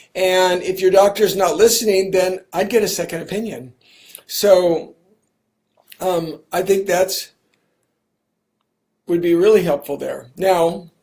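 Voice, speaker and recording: A high-pitched man at a fairly slow pace, his intonation fairly even and broken by long, frequent pauses. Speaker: physician. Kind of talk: live Q&A. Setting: Facebook live stream. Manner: conversational, filler words.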